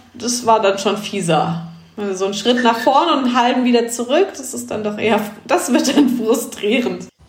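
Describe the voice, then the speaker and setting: Noticeable background noise mixes with audible room echo in this clip. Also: woman. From Germany, Rhineland between Siebengebirge and Westerwald. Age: 30s. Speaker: amateur trail runner, race winner. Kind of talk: podcast interview.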